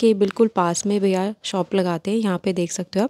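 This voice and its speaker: Recorded very cleanly against a silent background, with a dry, close sound and no echo, a woman speaks at a moderate pace in a medium pitch, her dark, mellow tone delivered in a monotone, flat intonation. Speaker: travel and shopping vlogger. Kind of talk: vlog narration.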